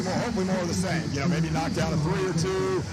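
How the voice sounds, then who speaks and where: Very fast speech comes from a man, with noticeable background noise in the recording. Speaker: basketball coach. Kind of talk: halftime coach interview answer.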